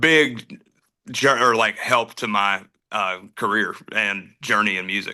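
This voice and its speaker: Speaking with a Southern US accent, a man has a fairly low pitch and a bright, sharp tone. His pace is very slow, with ordinary pitch variation. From North Carolina. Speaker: country singer. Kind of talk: casual interview chat. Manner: casual, many fillers.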